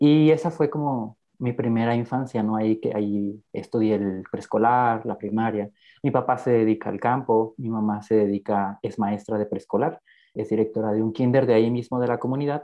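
Keeping a moderate pace, a man at medium pitch talks in an unremarkable speaking voice with fairly even intonation. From Mexico, Guerrero (rural town near Taxco). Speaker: podcast guest sharing life story. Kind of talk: personal testimony interview.

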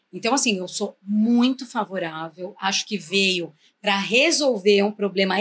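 With a normal speaking voice at medium pitch, a woman talks at a fairly slow pace with lively intonation. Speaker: professional building manager and lawyer. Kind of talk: casual interview chat.

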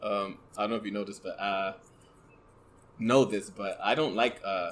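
Soft-spoken and fairly low-pitched, the man talks at a moderate pace with a fairly bright tone and fairly even intonation.

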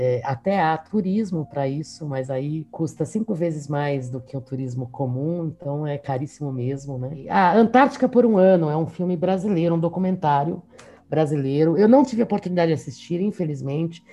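With a São Paulo accent, a woman speaks at a moderate pace with hardly any pauses. Her voice is very deep and low, with lively intonation. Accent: São Paulo Mooca. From São Paulo, Mooca district. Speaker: university professor. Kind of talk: casual interview.

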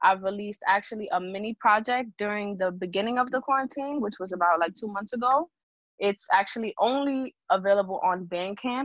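A woman at medium pitch, fairly quick pace and ordinary pitch variation. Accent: New York. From Bronx, New York. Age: 20s. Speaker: singer songwriter. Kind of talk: casual interview.

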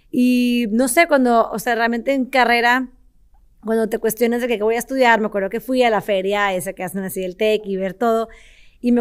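With a northern Mexican accent, a woman speaks at a moderate pace and fairly high pitch with fairly even intonation in a very clean recording with a silent background. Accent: northern Mexican (regio) Spanish. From Mexico, Monterrey. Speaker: entrepreneur, company CEO. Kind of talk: interview.

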